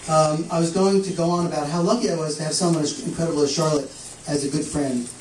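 Very fast delivery with audible room echo and light background noise. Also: man. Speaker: event host introducing speaker. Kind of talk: introduction speech. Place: shop. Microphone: camera far.

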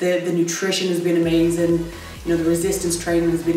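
Light background noise and audible room echo run through the recording. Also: woman. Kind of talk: interview answer. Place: office.

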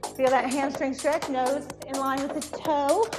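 Clear music plays in the background as a woman speaks at a high pitch. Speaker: fitness instructor. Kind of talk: exercise class cueing. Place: gym.

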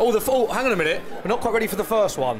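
Over crowd noise in the background, a man talks at a very fast pace in a high pitch with ordinary pitch variation. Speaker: football TV presenter. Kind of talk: TV sports show presenting. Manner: upbeat. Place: bar. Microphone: handheld.

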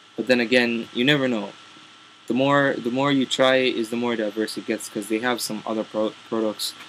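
With a fairly bright tone and medium pitch, a man talks at a moderate pace with little pitch movement, and room echo is audible.

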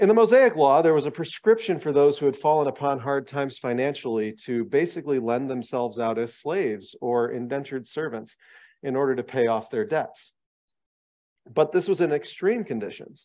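A man speaks at a fairly quick pace, with a quiet background behind him. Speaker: bible study lecturer. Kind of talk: lecture. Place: meeting room. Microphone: headset.

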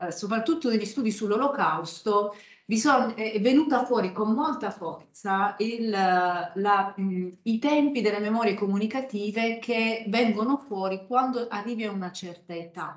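With ordinary pitch variation and a fairly high pitch, a woman talks in an ordinary speaking voice. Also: fairly slow pace. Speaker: historian. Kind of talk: academic talk. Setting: stage with audience.

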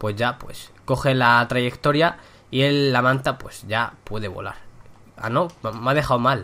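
At a fairly slow pace, the tone is bright and sharp, and the pitch varies in an ordinary way. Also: man, medium pitch for a man. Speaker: gaming youtuber. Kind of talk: gameplay commentary. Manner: casual, chatty.

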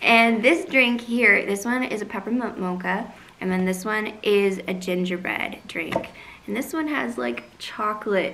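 Her delivery moves at a fairly slow pace, and the voice is a woman's. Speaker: vlogger reviewing coffee drinks. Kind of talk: casual vlog chat. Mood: cheerful, upbeat. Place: home room. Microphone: camera far.

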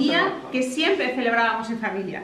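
Over light background noise and audible room echo, a woman speaks at a moderate pace. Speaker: granddaughter giving a family speech. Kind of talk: celebratory speech. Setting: outdoor village party without microphone. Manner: loud. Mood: warm, emotional. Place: hall. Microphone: no microphone; camera far.

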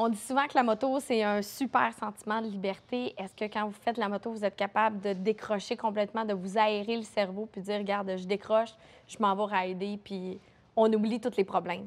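A woman speaking at a moderate pace with monotone, flat intonation. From Quebec. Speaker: web series host. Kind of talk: casual interview. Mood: warm, smiling. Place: shop. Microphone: lapel.

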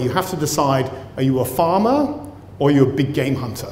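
In a British accent, a man talks at a fairly quick pace with a fairly high pitch, light background noise, and audible room echo. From Britain. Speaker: professor and cell biologist. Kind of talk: lecture. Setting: stage with audience. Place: hall. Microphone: lapel.

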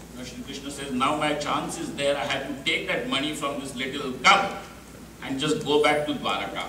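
Amid light background noise and audible room echo, a man talks with ordinary pitch variation. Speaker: speaker. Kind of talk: storytelling discourse. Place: hall.

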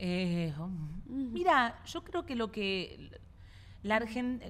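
A woman at a very slow pace with very wide pitch swings. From Argentina, Buenos Aires. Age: 40s. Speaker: comedian and podcaster. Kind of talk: casual chat. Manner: animated.

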